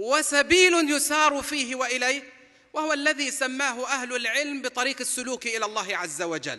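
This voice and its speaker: Against a quiet background, a man with an extremely high, bright, sharp voice projects it loudly at a fairly slow pace with ordinary pitch variation. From Palestine. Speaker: preacher. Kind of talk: sermon. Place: hall. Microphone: podium.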